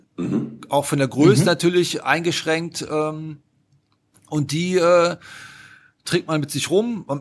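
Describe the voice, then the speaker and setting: A man with a Rhineland accent, fairly high in pitch, with ordinary pitch variation, speaking very slowly with long, frequent pauses. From Rhineland, Germany (between Düsseldorf and Cologne). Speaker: whitewater kayaker and filmmaker. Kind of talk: casual interview.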